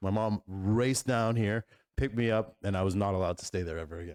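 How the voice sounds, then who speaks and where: This man has a plain, everyday voice with a Canadian accent, fairly low in pitch. He talks at a fairly quick pace with fairly even intonation, and the sound is dry and close with no echo. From Canada, Toronto. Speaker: podcast co-host. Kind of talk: casual chat.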